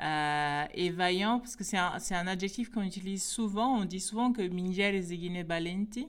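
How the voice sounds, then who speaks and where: Hardly pausing, a woman in an unremarkable speaking voice talks at a fairly slow pace, with medium pitch and ordinary pitch variation. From Guinea-Bissau. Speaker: baobab specialist. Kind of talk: interview.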